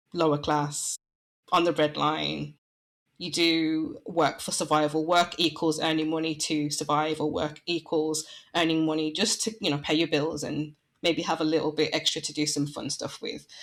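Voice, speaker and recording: A woman's very deep, low voice with a Midlands accent at a fairly slow pace, in a very clean recording with a silent background. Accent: local Midlands. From English Midlands. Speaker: branding and website designer. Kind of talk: podcast interview.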